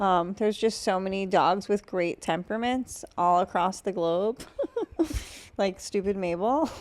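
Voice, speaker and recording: A woman with an American accent and a normal speaking voice, medium in pitch, ordinary in pitch variation, at a fairly slow pace. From Massachusetts, US. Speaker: comedian podcast host. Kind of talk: casual chat.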